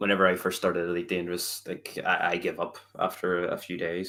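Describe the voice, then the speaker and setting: The man's voice has a very deep, low pitch. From Northern Ireland, Belfast. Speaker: game streamer. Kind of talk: podcast interview.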